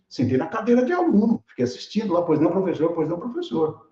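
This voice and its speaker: A man with a high pitch and a dark, mellow tone talks in a room with audible echo. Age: 60s. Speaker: keynote speaker, tech educator. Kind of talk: online lecture with live chat. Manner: animated, casual; repeats words, stammering restarts.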